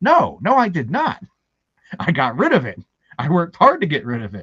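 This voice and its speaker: A man speaks at a moderate pace with an American accent, his pitch swinging very widely, in a dry, close recording with no echo. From Baltimore, Maryland, US. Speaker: author and filmmaker. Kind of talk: interview. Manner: halting.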